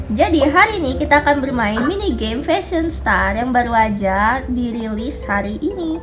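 A woman speaks at a moderate pace with lively intonation and a fairly high pitch. Music plays in the background. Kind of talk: casual gameplay commentary.

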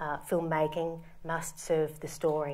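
A woman with an Australian accent speaks in a fairly low pitch. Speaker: film art department designer. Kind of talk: lecture. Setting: stage with audience. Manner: formal.

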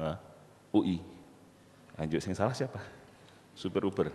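At a moderate pace, a man speaks in a very deep, low voice. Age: 40s. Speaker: university lecturer and entrepreneur; university lecturer. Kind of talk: motivational talk. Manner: animated. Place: hall. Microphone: handheld.

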